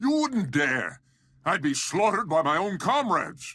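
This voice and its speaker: Someone uses a put-on character voice at a moderate pace, with very wide pitch swings. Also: man, high pitch for a man. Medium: video game. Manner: sneering, contemptuous.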